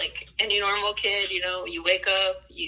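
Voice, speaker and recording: A woman with a Spanish accent. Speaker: interviewee. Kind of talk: interview, personal life story. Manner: casual, hesitant with fillers.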